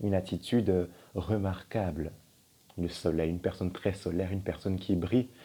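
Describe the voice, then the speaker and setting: A man speaks in a very deep, low voice. It sounds somewhat breathy. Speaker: tarot card reader. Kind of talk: tarot reading. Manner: casual, hesitant.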